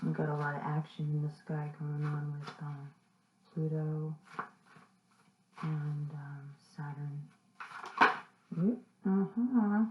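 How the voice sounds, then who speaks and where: A soft-spoken woman talks very slowly in a very deep, low pitch, with ordinary pitch variation and long, frequent pauses. Noticeable background noise runs underneath. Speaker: tarot reader. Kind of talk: tarot reading. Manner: halting.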